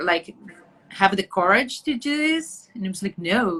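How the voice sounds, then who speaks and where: In a Brazilian Portuguese accent, a woman speaks at a fairly slow pace and medium pitch. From Brazil, Atibaia area. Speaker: journalist, photographer and actress. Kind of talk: interview. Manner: halting.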